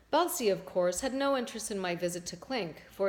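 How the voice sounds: This is a natural reading voice. It is the only thing described.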